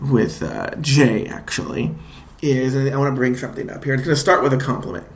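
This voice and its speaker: A man of medium pitch talks in an animated tone at a fairly quick pace with ordinary pitch variation, against noticeable background noise and audible room echo. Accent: American. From Los Angeles, US. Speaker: podcast and radio host, stand-up comedian. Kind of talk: casual chat.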